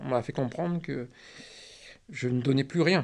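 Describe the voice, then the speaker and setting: Against a quiet background, a man speaks at a moderate pace in a medium pitch with ordinary pitch variation. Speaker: retired trainer and works director, cancer patient. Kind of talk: interview answer.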